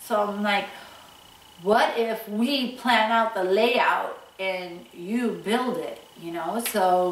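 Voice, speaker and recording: A woman's fairly even intonation with audible room echo and light background noise. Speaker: home renovation vlogger. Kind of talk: casual vlog chat. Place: home room.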